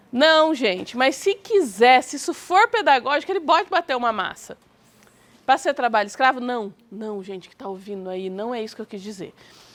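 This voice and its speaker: A woman's high-pitched voice at a moderate pace, with very wide pitch swings and big swings in loudness. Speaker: teacher. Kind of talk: lecture. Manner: soft-spoken; animated.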